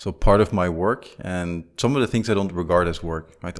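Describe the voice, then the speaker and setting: A man speaks at a moderate pace with a Flemish accent and a very deep, low pitch. The recording is very clean, with a silent background. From Belgium (Flanders). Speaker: business executive and entrepreneur. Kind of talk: casual interview.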